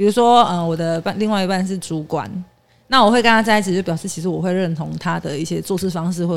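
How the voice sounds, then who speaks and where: A woman's fairly low voice at a very fast pace, with ordinary pitch variation and big swings in loudness. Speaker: office worker. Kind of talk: casual chat.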